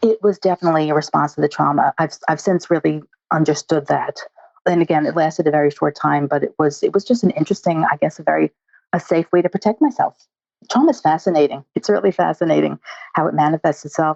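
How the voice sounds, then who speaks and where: This woman's voice is very deep and low, with vocal fry. She talks at a very fast pace. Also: ordinary pitch variation. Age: 60s. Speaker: eating disorder dietitian. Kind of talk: interview.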